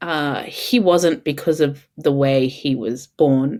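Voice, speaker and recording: A woman with an Australian accent and ordinary pitch variation, on a very clean recording with a silent background. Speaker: mother of three. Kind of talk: podcast interview answer. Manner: hesitant, many fillers.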